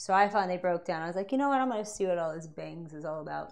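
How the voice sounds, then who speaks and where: Audible room echo surrounds this woman while she talks. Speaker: beauty vlogger. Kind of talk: tutorial. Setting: home bathroom. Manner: fast; casual, chatty.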